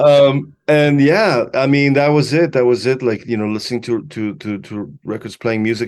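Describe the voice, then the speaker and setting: Against a quiet background, a man with a Spanish accent speaks at a moderate pace with ordinary pitch variation. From Chile and Mexico City, then Los Angeles from age 14. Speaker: musician and producer. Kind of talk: casual interview. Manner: halting, many repetitions.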